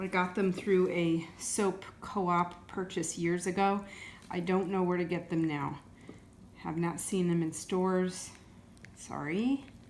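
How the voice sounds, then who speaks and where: A woman speaks at a fairly slow pace in a fairly low pitch, with fairly even intonation. Audible room echo surrounds her voice. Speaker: soap maker. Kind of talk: tutorial. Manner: unscripted, off the cuff.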